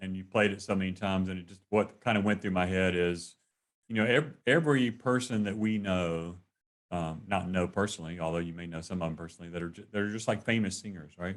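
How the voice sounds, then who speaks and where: The speaker talks at a fairly quick pace with a Southern accent and ordinary pitch variation. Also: man. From North Carolina. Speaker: interviewer. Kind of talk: casual chat. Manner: halting.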